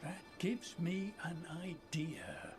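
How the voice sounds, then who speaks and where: A man whispering in a put-on character voice, with clear music in the background. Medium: video game.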